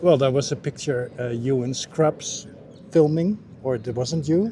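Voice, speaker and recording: Somewhat breathy and dark, mellow in tone, a man speaks at a fairly slow pace with ordinary pitch variation. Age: 60s. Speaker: dating app match, interview guest. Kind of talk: casual chat. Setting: on camera.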